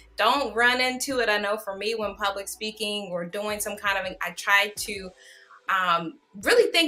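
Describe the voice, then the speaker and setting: At a fairly slow pace, a woman talks in a plain, everyday voice, fairly high in pitch with ordinary pitch variation. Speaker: online show host. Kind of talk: interview. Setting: livestream.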